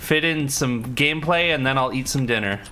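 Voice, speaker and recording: Man's fairly high-pitched voice with ordinary pitch variation at a moderate pace, in audible room echo. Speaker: gaming streamer. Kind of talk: live gameplay stream chat. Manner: casual, rambling with fillers.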